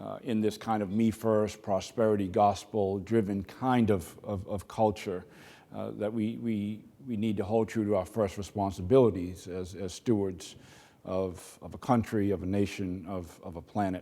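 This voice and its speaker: At a moderate pace, a man speaks with fairly even intonation, a dark, mellow tone and a fairly low pitch. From Boston. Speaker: corporate executive. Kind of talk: keynote speech. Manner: halting, many fillers.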